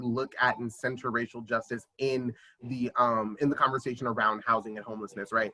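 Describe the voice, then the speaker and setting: Delivery moves at a fairly quick pace. The pitch shows ordinary variation. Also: man. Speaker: housing advocate. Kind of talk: community meeting presentation. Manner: fast.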